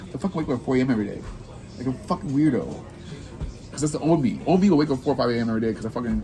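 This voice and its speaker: Over music in the background, a man with an American accent talks at a very fast pace and medium pitch, using lively intonation and long, frequent pauses. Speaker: podcast host, coach. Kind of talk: casual chat. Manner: animated.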